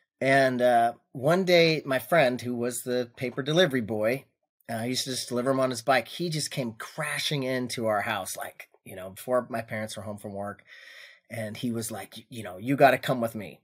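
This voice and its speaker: A man with a plain, everyday voice talks at a moderate pace and medium pitch in a very clean recording with a silent background. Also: ordinary pitch variation. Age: 50s. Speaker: firearms business owner. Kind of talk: casual chat.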